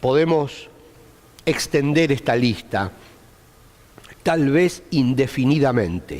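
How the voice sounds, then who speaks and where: A man's fairly high voice moves at a very slow pace, broken by long, frequent pauses, with ordinary pitch variation. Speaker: Bible teacher. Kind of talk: Bible study lecture.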